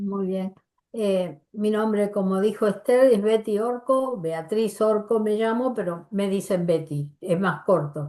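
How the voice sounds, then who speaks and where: Very slowly, a woman speaks at a medium pitch with ordinary pitch variation and a dark, mellow tone. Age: 80s+. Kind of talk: workshop teaching.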